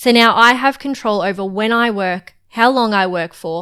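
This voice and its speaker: Speaking with an Australian accent and a bright, sharp tone, a woman talks at a moderate pace with ordinary pitch variation in a very clean recording with a silent background. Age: 20s. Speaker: podcast co-host, freelancer. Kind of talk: casual podcast chat.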